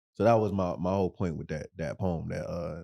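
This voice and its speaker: A very deep, low male voice, dark and mellow in tone, dry and close with no echo. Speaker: rapper. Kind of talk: casual chat.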